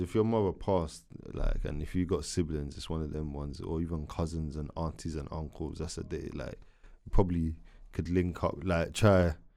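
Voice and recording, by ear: A man speaks at an extremely low pitch with vocal fry and a dark, mellow tone. His intonation is fairly even, and the recording is very clean with a silent background. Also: moderate pace.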